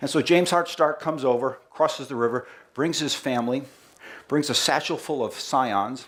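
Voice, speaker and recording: With a strong Boston accent, a man talks at a moderate pace in a fairly high pitch, his pitch varying in an ordinary way, and the room echo is audible. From Boston, US. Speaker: company marketing head giving presentation. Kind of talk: presentation to live audience. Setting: festival stage with audience. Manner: animated.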